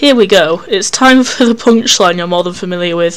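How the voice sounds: This clip has a natural reading voice.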